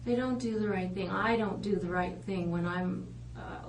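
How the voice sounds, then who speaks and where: Speech from a woman amid noticeable background noise, with audible room echo. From Netherlands. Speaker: police interrogator. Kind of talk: police interrogation. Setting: interview room. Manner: halting.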